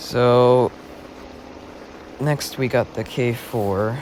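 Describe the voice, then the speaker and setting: A man's fairly even intonation comes through with background noise clearly present. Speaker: gaming video creator. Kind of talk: gameplay commentary. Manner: monotone; halting.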